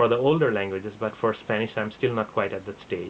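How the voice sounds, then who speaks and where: With an Assam accent, a man speaks with fairly even intonation. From India (Assam, schooled in Bengal). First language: Assamese. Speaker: vlogger. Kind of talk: casual talk to camera. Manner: halting, with fillers.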